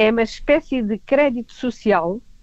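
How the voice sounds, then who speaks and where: A woman speaks with a European Portuguese accent over a quiet background, her voice sounding dry and close with no echo. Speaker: radio news commentator. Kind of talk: casual news chat.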